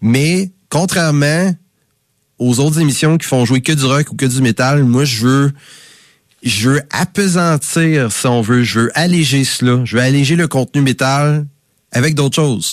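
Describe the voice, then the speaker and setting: With an unremarkable speaking voice, a man speaks fairly slowly at a fairly high pitch, with ordinary pitch variation and very even loudness, in a dry, close sound with no echo. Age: 30s. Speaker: campus radio host. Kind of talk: radio music show presenting.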